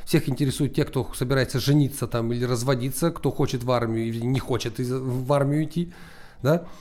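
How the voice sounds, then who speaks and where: A man speaks in a normal speaking voice at medium pitch, with fairly even intonation and a moderate pace. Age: 40s. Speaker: entrepreneur, founder of an ad automation service. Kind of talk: interview.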